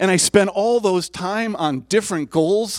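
Using lively intonation, a man with a high pitch speaks at a fairly slow pace. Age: 60s. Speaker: lay preacher, church board member. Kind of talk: sermon. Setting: church service with congregation.

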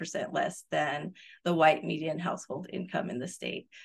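In a New Mexico accent, a woman talks with a very deep, low pitch. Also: quiet background. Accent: New Mexican American. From rural northern New Mexico. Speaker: professor and research director. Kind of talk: interview.

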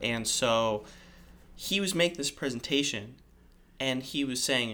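This is a very clean recording with a silent background. A man with an American accent speaks in a bright, sharp tone. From California. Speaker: guest, cousin. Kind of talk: casual chat.

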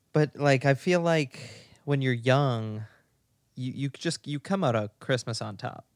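A man's medium-pitched, normal speaking voice at a fairly slow pace, dry and close with no echo, in a very clean recording with a silent background. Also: ordinary pitch variation. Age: 20s. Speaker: podcast co-host. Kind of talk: casual chat. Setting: sitting in bed at home.

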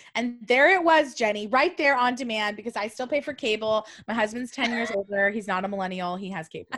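Fairly quick with hardly any pauses, a woman with an American accent speaks at a fairly high pitch with ordinary pitch variation. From Southern California, Orange County. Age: 30s. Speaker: stylist and business owner. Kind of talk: casual chat. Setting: video call.

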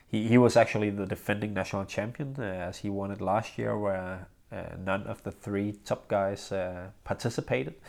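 A man with a Danish accent speaks in a fairly low voice at a moderate pace, with hardly any pauses. The recording is very clean, with a silent background. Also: ordinary pitch variation. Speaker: professional badminton player and podcast host. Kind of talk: casual solo podcast monologue. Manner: halting, many fillers.

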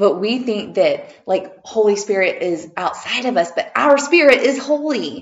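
At a fairly slow pace, a woman sounds animated and excited, her voice showing vocal fry and very wide pitch swings. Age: 50s. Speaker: podcast host and holistic healer. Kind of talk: casual interview chat. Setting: in person, same room. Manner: animated, excited.

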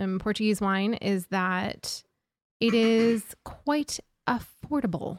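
In a dry, close sound with no echo, a woman speaks at a very slow pace. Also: very clean recording, silent background. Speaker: wine podcast host. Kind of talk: casual chat. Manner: animated.

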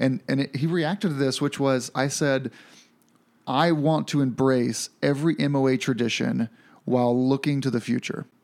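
A plain, everyday voice from a man at medium pitch, with ordinary pitch variation, very even loudness and a moderate pace, on a very clean recording with a silent background. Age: 30s. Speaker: motorcycle podcast host. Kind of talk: casual chat.

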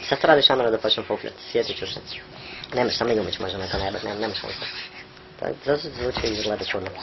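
A man at a medium pitch and a very fast pace, with long, frequent pauses, ordinary pitch variation and noticeable background noise. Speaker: podcast co-host. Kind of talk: casual chat. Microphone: poor recording quality.

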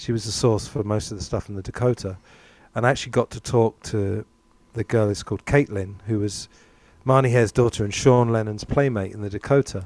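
A man with fairly low pitch and an unremarkable speaking voice talks at a fairly quick pace. The recording is very clean with a silent background, dry and close with no echo. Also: fairly even intonation. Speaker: podcast host, English teacher. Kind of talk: casual chat.

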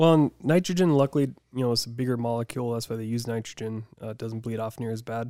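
This man talks at a very fast pace. His voice sits at medium pitch with a dark, mellow tone. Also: ordinary pitch variation. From Deadwood, South Dakota. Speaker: motocross rider, former rodeo competitor. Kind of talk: casual chat.

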